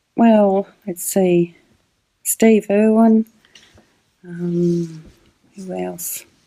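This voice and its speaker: A very slow, dark, mellow voice in a slight rural Australian accent, with long, frequent pauses, fairly even intonation, and a dry, close sound with no echo. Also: woman, medium pitch for a woman. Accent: Australian, slight country. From Australia, country Victoria. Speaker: public speaking mentor. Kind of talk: casual interview chat.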